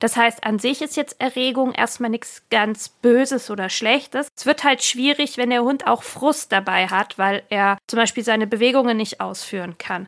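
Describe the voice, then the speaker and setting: A woman with an ordinary speaking voice talks at a moderate pace in a fairly high pitch, with ordinary pitch variation and hardly any pauses. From Franconia, Germany (Erlangen). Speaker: dog trainer and author. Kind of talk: interview.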